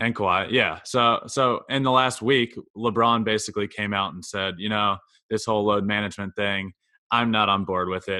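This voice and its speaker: A man with an American accent has an unremarkable speaking voice and a fairly low pitch. He keeps a moderate pace and fairly even intonation. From Virginia (Goochland, near Richmond). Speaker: sports podcast co-host. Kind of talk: casual chat.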